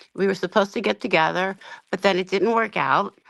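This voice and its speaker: With an American accent and vocal fry, a woman speaks at a medium pitch and moderate pace with ordinary pitch variation, in a dry, close, very clean recording with no echo and a silent background. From New Jersey Shore. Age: 60s. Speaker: caller. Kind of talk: casual chat. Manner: halting.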